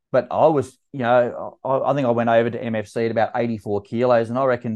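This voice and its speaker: Very fast delivery in a dark, mellow tone with monotone, flat intonation. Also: man. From Australia. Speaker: masters fitness athlete and event organizer. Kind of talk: casual interview.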